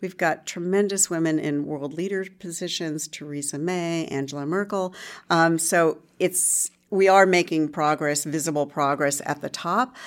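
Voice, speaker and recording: Heard on a very clean recording with a silent background, an unremarkable speaking voice keeps a moderate pace and fairly even intonation. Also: woman, fairly low pitch for a woman. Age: 50s. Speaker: journalist and entrepreneur. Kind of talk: interview. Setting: office.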